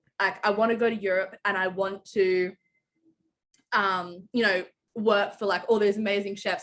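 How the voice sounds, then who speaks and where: This woman speaks with an Australian accent at a moderate pace, her medium-pitched voice following a fairly even intonation. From Australia, Canberra. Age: 20s. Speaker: chef. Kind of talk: interview. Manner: casual, many fillers.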